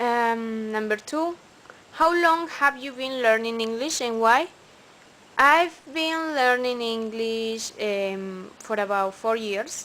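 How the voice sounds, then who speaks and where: The woman talks at a very slow pace in a Spanish accent. Her voice sits fairly high. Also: ordinary pitch variation. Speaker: English student. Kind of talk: recorded class assignment answers. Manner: halting, with fillers.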